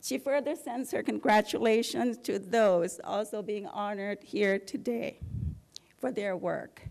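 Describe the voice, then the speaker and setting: A woman's fairly high voice with vocal fry and lively intonation against a quiet background. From Thailand. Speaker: college professor. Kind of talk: award acceptance speech. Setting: hotel ballroom ceremony with audience. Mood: warm, appreciative. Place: hall. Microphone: podium.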